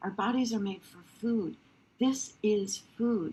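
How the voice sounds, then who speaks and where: A woman speaks fairly slowly in a somewhat breathy voice. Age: 70s. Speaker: wellness product presenter. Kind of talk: sales pitch. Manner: animated.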